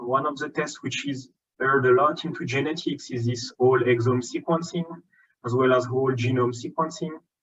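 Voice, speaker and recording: A man speaks with a French accent and fairly even intonation. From France. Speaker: genomics scientist. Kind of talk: conference lecture. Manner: hesitant, many filler ums.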